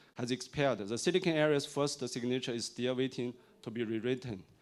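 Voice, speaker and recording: A man's medium-pitched voice with a Chinese accent and ordinary pitch variation, on a very clean recording with a silent background. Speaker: tech industry executive, conference speaker. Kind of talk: conference keynote. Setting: stage with audience. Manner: halting, many fillers.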